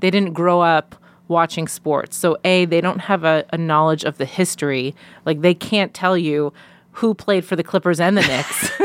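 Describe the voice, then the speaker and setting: In an ordinary speaking voice with an American accent, a woman speaks at a moderate pace with fairly low pitch, fairly even intonation and very even loudness, in a very clean, dry, close recording with no echo and a silent background. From Long Island, New York. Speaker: sideline reporter. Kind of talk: casual chat. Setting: studio.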